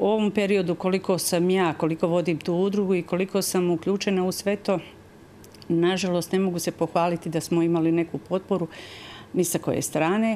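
A woman speaks in a fairly low, dark, mellow voice with flat, monotone intonation over light background noise. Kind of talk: interview answer. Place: studio. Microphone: lapel.

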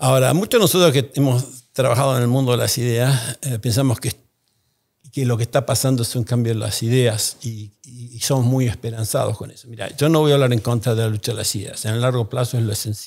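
A man's somewhat breathy voice, fairly even in intonation, over a quiet background. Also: fairly quick pace. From Argentina. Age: 60s. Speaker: economist and think tank founder; podcast guest. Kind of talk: interview. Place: studio. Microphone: studio mic.

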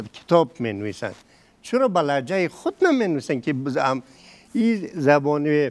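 A man speaks in an Afghan accent at a fairly high pitch. His pitch swings very widely. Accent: Afghan Dari. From Afghanistan. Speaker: panel guest on language history; talk show guest. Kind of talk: televised panel debate. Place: studio. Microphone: lapel.

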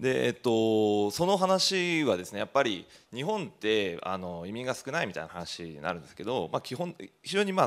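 The man's fairly low voice moves at a moderate pace, with very wide pitch swings and big swings in loudness. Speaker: rural community organizer; presenter, panelist. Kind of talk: presentation. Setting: stage with audience. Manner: many fillers, casual. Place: hall. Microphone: handheld.

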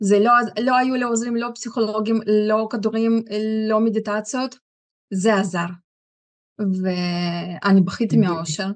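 Over a quiet background, a woman speaks fairly slowly with a fairly high pitch, fairly even intonation and long, frequent pauses. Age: 40s. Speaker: product user giving testimony. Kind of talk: testimony. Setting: stage with audience. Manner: halting. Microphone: video call.

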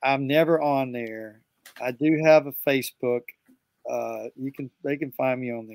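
A man speaks at a fairly slow pace with fairly even intonation. His loudness swings widely, and the sound is dry with no echo. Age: 60s. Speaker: music producer and guitarist; guest. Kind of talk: interview. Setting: video call. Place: studio.

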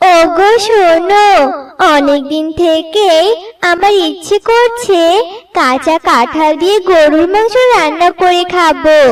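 A cartoonish character voice that speaks at a very slow pace. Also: female-sounding voice, extremely high pitch for a woman.

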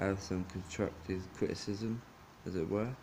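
Over light background noise, a man talks at a fairly slow pace and fairly low pitch, his intonation fairly even. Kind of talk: casual vlog chat. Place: home room. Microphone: phone near.

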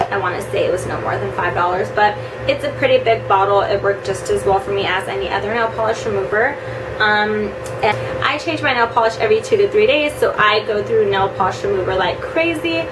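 A woman at a fairly quick pace amid noticeable background noise. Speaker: beauty vlogger. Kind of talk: casual vlog product review. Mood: chatty and upbeat. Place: home room. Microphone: camera far.

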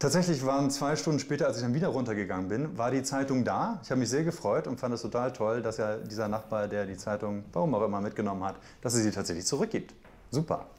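A man of medium pitch talks at a very fast pace, his intonation lively. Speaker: journalist, TV news presenter. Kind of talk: interview answer, casual anecdote to camera. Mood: amused, smiling anecdote. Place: kitchen.

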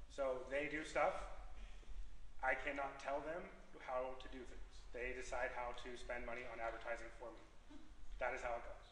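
A man speaks at a moderate pace with audible room echo and light background noise. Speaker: public candidate. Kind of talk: debate answer. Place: hall. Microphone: camera far.

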